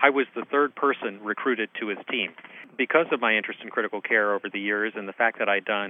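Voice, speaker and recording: A man talks with a fairly low pitch and fairly even intonation. His is an unremarkable speaking voice. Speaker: anesthesiologist and critical care professor. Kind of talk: interview.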